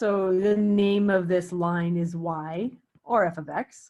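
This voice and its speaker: A woman is speaking. Her pitch is medium. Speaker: math teacher. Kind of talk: lecture. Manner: halting.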